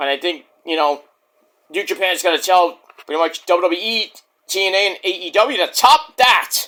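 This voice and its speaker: A man speaks with a high pitch in a raised, projected voice. His tone is bright and sharp, and his intonation is lively. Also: moderate pace. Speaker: wrestling podcaster. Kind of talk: casual vlog monologue. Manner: keeping voice down.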